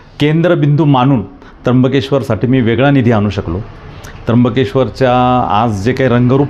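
Over noticeable background noise, the speaker's pitch varies in an ordinary way. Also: man, very even loudness. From Trimbakeshwar, Nashik district, Maharashtra, India. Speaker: local politician and temple trust trustee. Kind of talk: interview.

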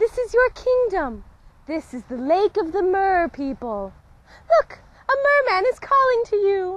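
A woman speaks at a fairly slow pace in an extremely high pitch, with very wide pitch swings and big swings in loudness. The sound is dry with no echo. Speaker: actress in a fantasy short. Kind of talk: scripted dialogue. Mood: playful, cheerful. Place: open country.

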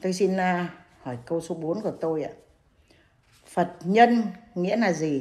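The delivery is very slow, with long, frequent pauses and ordinary pitch variation. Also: woman, fairly low pitch for a woman. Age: 80s+. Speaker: elderly questioner; questioner. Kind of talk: reading questions aloud. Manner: polite, formal. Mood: polite, respectful. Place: home room. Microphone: video call.

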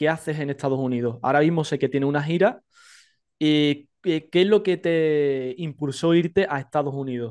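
This man has an unremarkable speaking voice, fairly high in pitch with ordinary pitch variation. He talks at a moderate pace against a quiet background. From Spain. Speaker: podcast interviewer. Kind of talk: casual interview. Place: home room. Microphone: studio mic.

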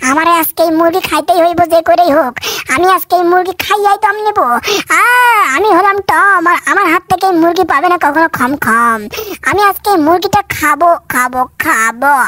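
A man puts on a character voice. It is pitched extremely high. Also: moderate pace. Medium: dub. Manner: excited.

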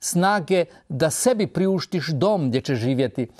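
With a quiet background, a high-pitched man talks at a fairly slow pace and ordinary pitch variation. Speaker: preacher on a TV program. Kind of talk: sermon. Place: studio.

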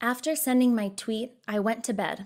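Recorded very cleanly against a silent background, a woman with an American accent speaks at a moderate pace and a fairly high pitch. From Texas. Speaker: journalist and foreign affairs editor. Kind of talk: personal testimony essay read aloud.

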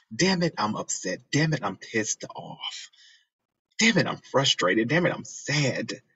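Vocal fry runs through a man's voice. He speaks at a fairly slow pace. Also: quiet background. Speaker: video blogger reacting to a clip. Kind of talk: reaction video, casual personal talk. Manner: emotional, sincere, reflective. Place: studio. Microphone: phone near.

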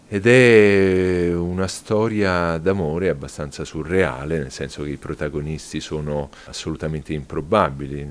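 The speaker talks at a fairly slow pace. The pitch varies in an ordinary way. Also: man. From Rome, Italy; Italy. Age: 40s. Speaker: novelist. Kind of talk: interview monologue. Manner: hesitant with fillers. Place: home room.

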